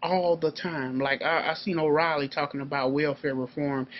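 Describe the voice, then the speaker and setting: A man in a normal speaking voice has a fairly high pitch, ordinary pitch variation and a moderate pace. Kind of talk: political commentary monologue. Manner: casual, profane, heated.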